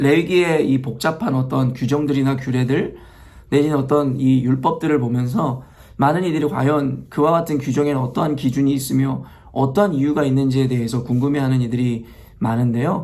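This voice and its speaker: In a room with audible echo, a man talks at a fairly quick pace and medium pitch, with fairly even intonation and very even loudness. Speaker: pastor. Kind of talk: sermon. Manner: halting, many fillers.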